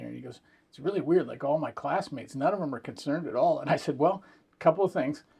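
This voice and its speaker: A man with an American accent speaks in vocal fry with fairly even intonation. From Northern California. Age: 60s. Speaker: podcast host and musician. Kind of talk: interview. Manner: casual, hesitant fillers.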